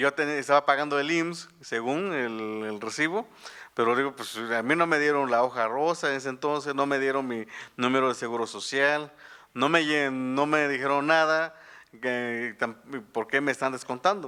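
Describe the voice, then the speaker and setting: At a moderate pace, a man speaks in a fairly high, bright, sharp voice with ordinary pitch variation. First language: Tu'un savi (Mixtec) (speaking Spanish). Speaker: journalist and author. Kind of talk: book presentation talk. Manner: halting, many fillers and restarts.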